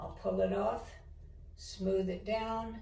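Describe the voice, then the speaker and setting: A woman's voice carries audible room echo and noticeable background noise. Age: 70s. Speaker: home decor DIY vlogger. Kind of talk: tutorial. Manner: casual, conversational.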